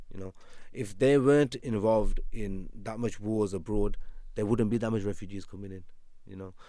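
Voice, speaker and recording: At a moderate pace, a man with a dark, mellow tone and fairly low pitch keeps a fairly even intonation while his loudness swings widely. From England, West Midlands. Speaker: criminal defence lawyer. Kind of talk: podcast interview.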